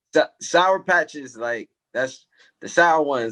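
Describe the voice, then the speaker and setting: A man with an American accent is recorded with a dry, close sound and no echo. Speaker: music manager and songwriter. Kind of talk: casual podcast chat. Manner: quiet.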